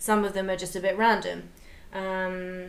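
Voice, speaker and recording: Flat, monotone intonation amid audible room echo and noticeable background noise. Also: woman. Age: 30s. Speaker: podcast co-host. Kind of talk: casual chat.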